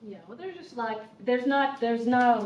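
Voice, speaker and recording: A woman with an American accent talks over noticeable background noise, with audible echo in the room. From United States. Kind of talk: panel discussion.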